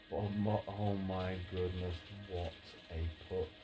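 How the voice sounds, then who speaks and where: Over music in the background, a soft-spoken voice moves at a very slow pace with a relaxed tone and monotone, flat intonation. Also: man. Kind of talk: ASMR softly spoken gaming and life talk. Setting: indoors with rain on conservatory roof. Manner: soft-spoken, relaxed.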